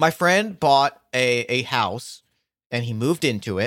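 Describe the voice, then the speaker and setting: A man speaks with lively intonation in a dry, close sound with no echo, on a very clean recording with a silent background. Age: 30s. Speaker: podcaster and game designer. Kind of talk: casual chat. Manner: halting.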